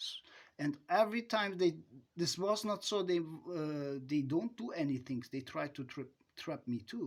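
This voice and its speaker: A man with a non-native accent talks at a fairly slow pace. His voice sits high for a man, with lively intonation. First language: not English. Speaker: self-styled advice giver. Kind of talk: monologue. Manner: halting.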